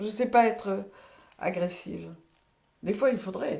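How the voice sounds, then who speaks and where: Slow-paced with a dark, mellow tone, a woman speaks with vocal fry and ordinary pitch variation. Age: 80s+. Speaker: retired midwife. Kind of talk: testimony. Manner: halting.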